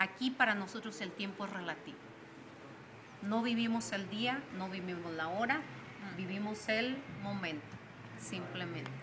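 A woman at a fairly slow pace with long, frequent pauses, ordinary pitch variation and noticeable background noise. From Mexico, San Luis Potosí. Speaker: touring cyclist. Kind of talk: interview; interview answer. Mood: calm, reflective. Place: street. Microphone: phone near.

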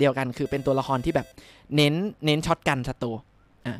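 Faint music plays in the background of a dry sound with no echo. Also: man. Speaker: game streamer. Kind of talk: casual live stream chat. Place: home room. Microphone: studio mic.

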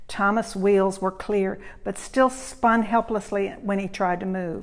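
This is reading aloud in a natural voice with fairly even intonation.

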